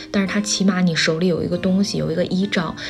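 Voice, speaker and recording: A woman speaks at medium pitch with fairly even intonation. Noticeable background noise and room echo can be heard. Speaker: solo podcast host. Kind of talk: casual monologue.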